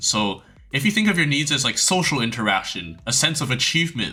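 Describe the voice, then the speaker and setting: A man speaks at a fairly quick pace and a fairly high pitch, with very wide pitch swings. Music plays in the background. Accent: non-native. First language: not English. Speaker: youtuber, former competitive gamer. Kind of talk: casual advice monologue. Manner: hesitant, many fillers and restarts.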